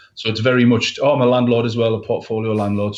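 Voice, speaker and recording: A man with a northeast English accent speaks in a monotone, flat way. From northeast England, County Durham. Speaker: letting agency owner. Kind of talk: live interview.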